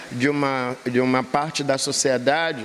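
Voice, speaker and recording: A man with a medium-pitched voice speaks at a very slow pace over noticeable background noise. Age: 70s. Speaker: capoeira master. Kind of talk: interview.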